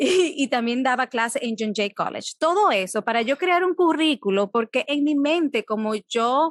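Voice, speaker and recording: A high-pitched woman speaks with a Dominican accent in a dry, close sound with no echo. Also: moderate pace. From Dominican Republic. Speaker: psychologist. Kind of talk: interview. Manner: halting.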